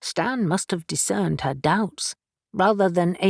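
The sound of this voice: The reading voice is unforced, with ordinary pitch variation. Nothing disturbs the quiet background.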